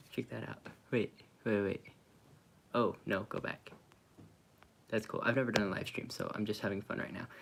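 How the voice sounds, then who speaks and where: Quiet and at a moderate pace, the speech has an American accent, monotone, flat intonation, and long, frequent pauses. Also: man, fairly low pitch for a man. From Oklahoma / Kansas, US. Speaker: vanlife vlogger. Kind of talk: live stream Q&A. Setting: at parents' house, live stream. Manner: talking quietly.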